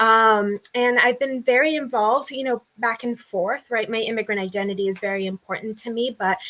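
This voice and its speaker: A woman is the one talking. She has a fairly high pitch. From US Northeast (southern New Hampshire), born in Brazil. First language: Portuguese. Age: 20s. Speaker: podcast guest, community builder. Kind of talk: interview conversation. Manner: hesitant, many fillers.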